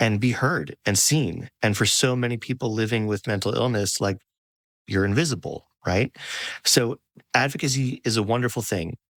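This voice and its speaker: In a normal speaking voice, a man talks at medium pitch with ordinary pitch variation and a moderate pace, recorded very cleanly with a silent background and a dry, close sound with no echo. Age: 40s. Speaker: podcast host. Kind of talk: interview conversation.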